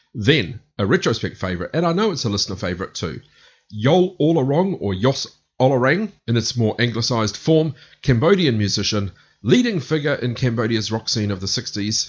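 Somewhat breathy, a man speaks at a fairly quick pace and medium pitch with very wide pitch swings. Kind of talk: radio DJ patter: back-announcing a music set with track and band trivia. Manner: brisk, upbeat, matter-of-fact rundown of bands and tracks.

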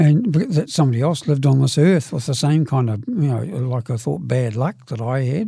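A man with a New Zealand accent, fairly high in pitch, with a dark, mellow, somewhat breathy tone, lively intonation and a moderate pace. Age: 70s. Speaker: recovering alcoholic. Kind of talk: testimony.

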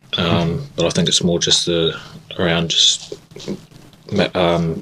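A New Zealand accent at a moderate pace, with ordinary pitch variation and noticeable background noise. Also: man. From New Zealand, Christchurch. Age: 20s. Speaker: rugby player. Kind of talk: interview. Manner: halting.

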